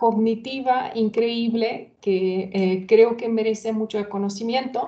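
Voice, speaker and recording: A dark, mellow tone comes through in a Hungarian accent. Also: woman. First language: Hungarian (speaking Spanish). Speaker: former interpreter, event co-presenter. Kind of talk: webinar introduction. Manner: halting, many fillers.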